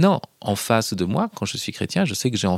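A man speaks at medium pitch with very wide pitch swings. The recording is very clean and silent in the background, dry and close with no echo. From Paris region, France (Hauts-de-Seine). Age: 40s. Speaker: philosophy professor and essayist. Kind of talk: interview. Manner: hesitant with fillers.

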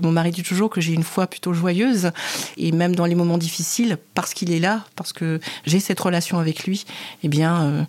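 At a moderate pace, a woman with a fairly low pitch speaks with fairly even intonation. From Cameroon. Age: 40s. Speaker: church leader and HR director. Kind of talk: interview testimony.

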